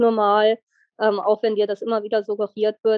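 A woman with a fairly high pitch and monotone, flat intonation. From Lower Saxony, Germany (near Wolfsburg). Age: 20s. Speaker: endometriosis patient. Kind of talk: interview testimony.

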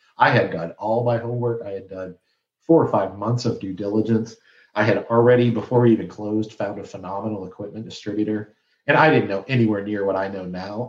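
A man with a Midwestern American accent, fairly low in pitch, at a fairly quick pace with fairly even intonation. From Flint, Michigan. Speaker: business owner and podcast host. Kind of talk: interview storytelling.

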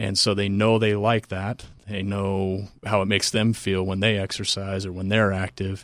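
This man talks at a moderate pace in a fairly low pitch, with monotone, flat intonation, on a very clean recording with a silent background. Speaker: exercise science professor. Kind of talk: casual interview. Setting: studio.

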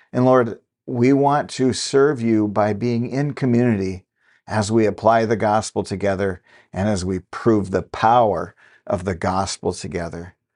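Against a quiet background, a man talks at a fairly slow pace in a normal speaking voice. His pitch is fairly low, with ordinary pitch variation. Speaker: podcast host and lay preacher. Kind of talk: fervent prayer, addressing God aloud. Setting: recorded podcast. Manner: earnest, heartfelt, fervent; measured, devotional, with repeated 'Lord'.

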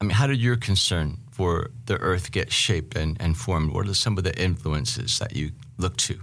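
A plain, everyday voice from a man with an American accent, fairly low pitch, ordinary pitch variation, a moderate pace and hardly any pauses. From Seattle, US Pacific Northwest. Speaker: podcast host and professor. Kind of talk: casual interview conversation.

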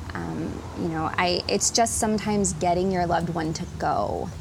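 Audible room echo and noticeable background noise surround a woman talking at a moderate pace. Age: 30s. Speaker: speech language pathologist. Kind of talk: interview.

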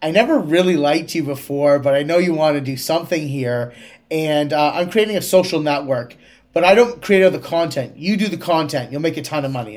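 At a fairly quick pace, a man with a Canadian accent talks in a fairly high pitch with ordinary pitch variation. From Canada, Kingston, Ontario. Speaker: tech startup CEO. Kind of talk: interview.

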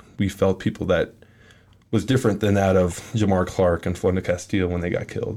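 A man talks at a fairly quick pace with a fairly low pitch. His is an unremarkable speaking voice with fairly even intonation. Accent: American. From Minneapolis, Minnesota. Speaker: college football player. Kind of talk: interview.

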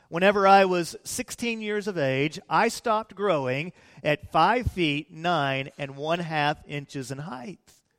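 This man has an American accent and a high voice for a man, with very wide pitch swings at a fairly slow pace. The sound is dry and close with no echo, in a very clean recording over a silent background. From US Midwest (Peoria, Illinois). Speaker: pastor. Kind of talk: sermon. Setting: church.

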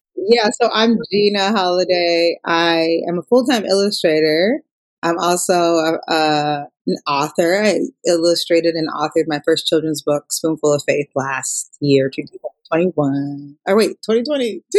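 A woman with a fairly low pitch talks at a fairly slow pace, an unremarkable speaking voice with ordinary pitch variation. The sound is dry and close, with no echo. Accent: American. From Minnesota, Minneapolis. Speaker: illustrator and author. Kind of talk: interview. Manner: casual with fillers.

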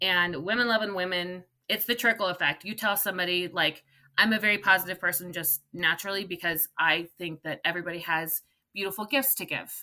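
A woman's bright, sharp, medium-pitched voice with an American accent at a fairly quick pace. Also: ordinary pitch variation. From California. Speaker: runner and online running group organizer. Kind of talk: interview.

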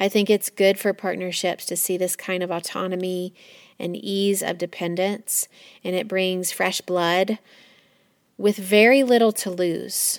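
A woman with a medium-pitched, normal speaking voice talks at a fairly slow pace, recorded with a dry, close sound and no echo. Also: fairly even intonation. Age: 40s. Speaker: podcast host. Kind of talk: personal reflective monologue.

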